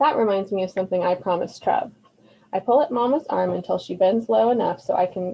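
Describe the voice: It is plain reading aloud with ordinary pitch variation.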